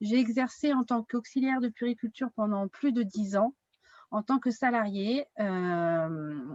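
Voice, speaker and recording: A somewhat breathy woman speaks in a fairly high pitch at a fairly slow pace, her loudness very even in a dry, close sound with no echo. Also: ordinary pitch variation. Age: 30s. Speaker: wellness consultant. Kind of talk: online workshop.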